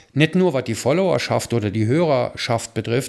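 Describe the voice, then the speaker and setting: In a very clean recording with a silent background, a man speaks at a medium pitch and a fairly quick pace in a normal speaking voice. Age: 60s. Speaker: charity founder and photographer. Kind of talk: casual chat.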